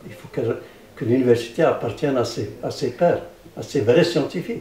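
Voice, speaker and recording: A man talks at a medium pitch with ordinary pitch variation, audible room echo and noticeable background noise. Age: 70s. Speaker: physicist researcher. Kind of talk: interview. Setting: public science event. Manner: halting, many repetitions.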